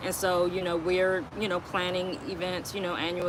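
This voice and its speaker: A woman's fairly low-pitched voice with an American accent, at a moderate pace over noticeable background noise. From US Northeast. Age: 60s. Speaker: podcast co-host. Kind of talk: casual chat. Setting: live stream.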